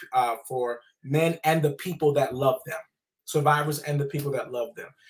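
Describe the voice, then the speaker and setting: With an American accent, a man in a plain, everyday voice speaks at a fairly high pitch and a fairly even intonation. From US South. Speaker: trauma nonprofit founder and author. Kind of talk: testimony.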